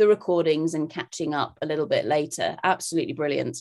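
Against a quiet background, a woman talks at a very fast pace in a very deep, low pitch. Her intonation stays fairly even. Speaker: conference host. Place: home room. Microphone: video call.

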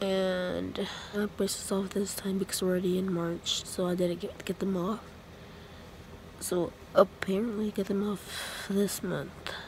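A soft-spoken woman talks at a fairly slow pace in a flat, monotone delivery, with a dry sound free of echo over light background noise. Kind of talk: casual vlog chat. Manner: soft, sleepy late-night murmur. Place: home room. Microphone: phone near.

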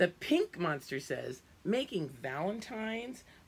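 An unforced reading voice carries the text. The intonation stays lively throughout.

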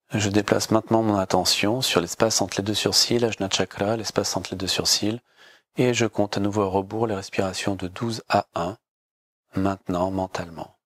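On a very clean recording with a silent background, a man speaks in a calm, soothing tone with a fairly low pitch and monotone, flat intonation. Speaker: yoga teacher guiding a class. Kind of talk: guided meditation (yoga nidra). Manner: slow, calm, soothing, with long pauses and repeated phrases; soft, measured, hypnotic delivery.

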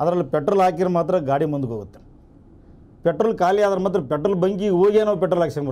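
Dark and mellow in tone, a man's voice sits at a high pitch with ordinary pitch variation. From North Karnataka, Koppal district; Karnataka. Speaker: cooperative bank director and community leader; interview guest. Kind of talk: interview. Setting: studio. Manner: halting. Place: studio. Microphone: lapel.

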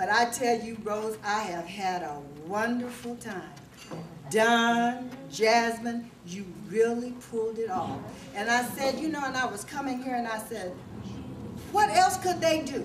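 Noticeable background noise sits behind a woman speaking at a fairly high pitch. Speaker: family member. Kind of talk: casual family reunion talk. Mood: warm, grateful, emotional. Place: hall. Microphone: camera far.

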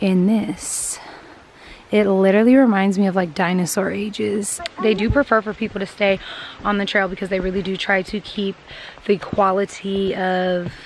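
A woman at a moderate pace with monotone, flat intonation, dry sound with no echo and light background noise. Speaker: vlogger. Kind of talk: casual vlog chat. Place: forest. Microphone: phone near.

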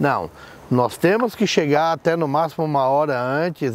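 The sound is dry, with no echo. A man talks at a moderate pace and a fairly high pitch. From São Paulo state, Brazil. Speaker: event tent rental business owner. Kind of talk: interview. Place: garden.

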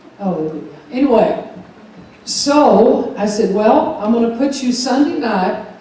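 Strong room echo surrounds a woman with a fairly high pitch. She speaks at a fairly slow pace with lively intonation. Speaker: pastor. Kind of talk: church announcements. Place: church.

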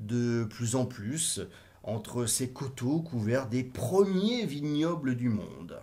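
At a very slow pace, a man speaks in a dark, mellow tone that is also theatrical and warm, somewhat breathy, with lively intonation. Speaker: audiobook reader. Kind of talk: literary audiobook reading. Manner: theatrical, warm, lively intonation, voicing characters' exclamations; steady, measured narration pace. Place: home room. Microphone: webcam.

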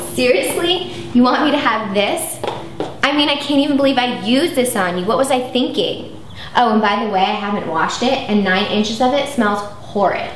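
Fairly quick and high-pitched, a woman speaks with audible room echo and light background noise. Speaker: actress in comedy sketch. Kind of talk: scripted dialogue. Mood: sarcastic, breaking up. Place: home room.

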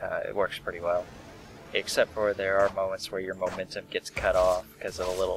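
Over music in the background, a man mumbles quietly at a moderate pace. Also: dry sound with no echo. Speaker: let's play gamer. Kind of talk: casual gameplay commentary. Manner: quiet, mumbling.

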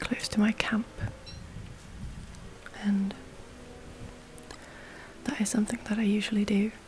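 A woman whispers over noticeable background noise. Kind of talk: ASMR gameplay commentary. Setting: gameplay recording with breathing sounds. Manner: whispered.

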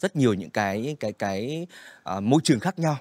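Over a quiet background, a man talks at a very fast pace with very wide pitch swings, the sound dry with no echo. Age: young. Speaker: podcast host. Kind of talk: podcast interview hosting. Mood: warm, polite. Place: studio. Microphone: studio mic.

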